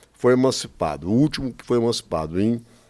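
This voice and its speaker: A man with a fairly low voice speaks at a moderate pace. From Brazil, Espírito Santo. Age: 70s. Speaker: former politician and businessman. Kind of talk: interview. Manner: animated; halting.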